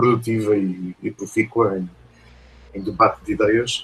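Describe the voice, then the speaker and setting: He speaks with a European Portuguese accent. The man's pitch is fairly low and his intonation fairly even. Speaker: professor. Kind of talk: lecture. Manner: hesitant, many fillers.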